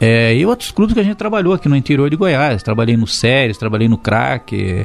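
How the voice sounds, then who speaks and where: A man is talking. Background music accompanies him. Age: 60s. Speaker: retired footballer and football coach. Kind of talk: interview. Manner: fluent, articulate.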